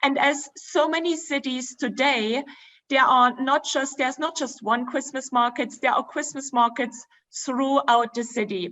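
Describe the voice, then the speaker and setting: A woman with a German accent speaks at a fairly slow pace, her high pitch showing ordinary pitch variation. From Germany, Dresden. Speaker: travel presenter. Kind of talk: virtual presentation with slides.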